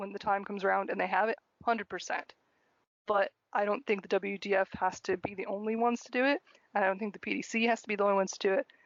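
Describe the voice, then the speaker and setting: A woman with a strong American accent talks at a very fast pace. Her medium-pitched delivery is monotone and flat. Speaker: podcast co-host and producer. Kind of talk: casual chat.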